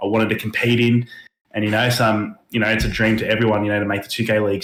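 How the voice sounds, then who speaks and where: A man's fairly low voice with an Australian accent, very fast and monotone, with flat intonation. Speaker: esports gamer. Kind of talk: casual interview.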